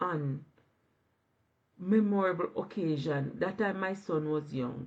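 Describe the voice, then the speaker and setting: Speaking at a fairly slow pace, a woman with a fairly low pitch sounds somewhat breathy and shows ordinary pitch variation. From Jamaica. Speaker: online business owner. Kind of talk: live stream interview. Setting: live video stream.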